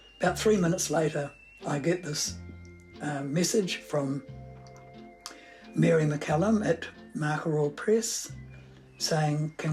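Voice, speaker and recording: A woman's very deep, low voice with a New Zealand accent, lively intonation and a fairly slow pace, with music in the background. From New Zealand, Napier. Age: 80s+. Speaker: writer. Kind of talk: interview.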